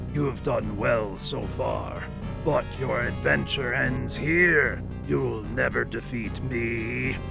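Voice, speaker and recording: Over loud music in the background, a man does a put-on character voice at a very slow pace. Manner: villainous, menacing.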